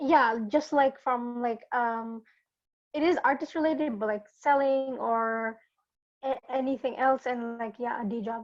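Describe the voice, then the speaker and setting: Fairly slow and fairly even in intonation, the speaker talks with a non-native accent. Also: woman, high pitch for a woman. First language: not English. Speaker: workshop attendee asking a question. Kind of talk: question in Q&A. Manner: halting.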